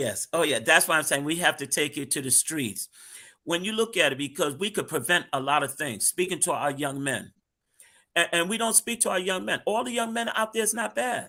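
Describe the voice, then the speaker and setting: A man speaks in a high, bright, sharp voice with very wide pitch swings and an American accent. The recording is very clean, with a silent background. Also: fairly quick pace. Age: 60s. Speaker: street minister. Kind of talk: panel discussion.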